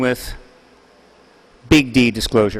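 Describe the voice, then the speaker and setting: At a moderate pace, a man with an American accent speaks at a medium pitch with ordinary variation. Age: 60s. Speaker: UFO disclosure advocate and speaker. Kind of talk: lecture. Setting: stage with audience.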